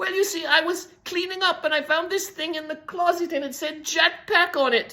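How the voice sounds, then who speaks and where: Using a put-on character voice, a woman speaks at an extremely high pitch and a moderate pace with hardly any pauses. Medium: read story. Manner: rambling, flustered.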